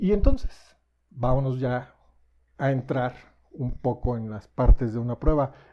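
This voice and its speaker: At a fairly slow pace broken by long, frequent pauses, a man with a medium-pitched, dark and mellow voice shows ordinary pitch variation and big swings in loudness. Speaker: software developer giving a tech talk. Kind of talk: technical presentation.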